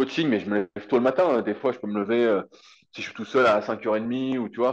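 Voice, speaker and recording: The man's pitch is medium. He speaks very fast. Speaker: fitness coach and content creator. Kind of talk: casual interview chat. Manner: animated.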